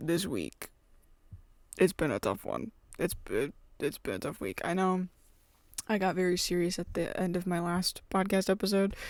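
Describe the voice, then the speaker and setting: Here a woman talks at a moderate pace. The background is silent, and the recording is very clean. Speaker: podcast host, college student. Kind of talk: casual vlog-style chat. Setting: college dorm room at night.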